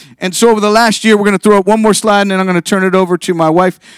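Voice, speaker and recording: The recording of this man's voice is dry and close, with no echo. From Northeast Ohio, Youngstown. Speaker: pastor. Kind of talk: sermon. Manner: fast.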